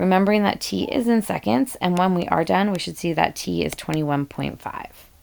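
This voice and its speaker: The speaker is a woman at a fairly quick pace. She leaves hardly any pauses. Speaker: high school chemistry teacher. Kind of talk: tutorial. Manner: fast; halting, many fillers.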